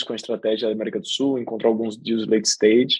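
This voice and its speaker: A man's medium-pitched voice, monotone and flat in intonation. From Brazilian Northeast, Aracaju. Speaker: venture capital investor. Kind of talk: podcast interview.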